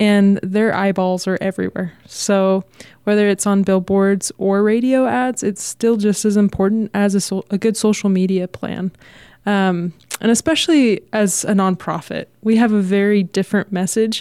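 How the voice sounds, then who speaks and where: A woman with an American accent speaks at a moderate pace and medium pitch, in a dark, mellow tone with fairly even intonation. Her loudness stays very even on a very clean recording with a silent background. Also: dry, close sound with no echo. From Texas. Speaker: digital marketer. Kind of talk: radio interview. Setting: radio studio.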